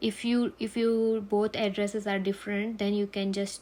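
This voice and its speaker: With a Gujarati accent, the speaker talks at a fairly slow pace. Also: woman. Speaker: nurse, tutorial creator. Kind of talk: tutorial.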